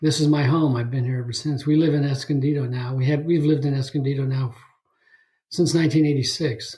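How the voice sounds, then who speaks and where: Somewhat breathy and dark, mellow in tone, the voice rushes along at a very fast pace in an American accent, flat and monotone in intonation yet swinging widely in loudness. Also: man, fairly high pitch for a man. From Northern California (Bay Area, Saratoga). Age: 70s. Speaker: podcast guest, ocean swimmer. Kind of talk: casual interview chat. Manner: halting with fillers.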